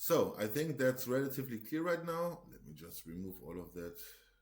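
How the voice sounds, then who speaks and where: Pitch swings very widely in this voice. It belongs to a man speaking at a moderate pace. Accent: German. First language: German. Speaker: market analyst. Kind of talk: tutorial; casual chat. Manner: halting.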